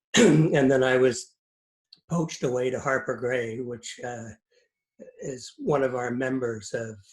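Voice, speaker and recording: A man with a medium pitch and ordinary pitch variation speaks at a fairly slow pace, with long, frequent pauses. His voice is somewhat breathy and shows big swings in loudness. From Scotland, Edinburgh; raised in Canada from early 70s. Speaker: lawyer, business network president. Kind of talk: interview. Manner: hesitant, many fillers.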